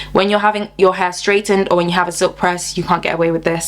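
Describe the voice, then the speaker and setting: A woman talks over noticeable background noise. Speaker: hair care vlogger. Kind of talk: tutorial. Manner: fast; animated.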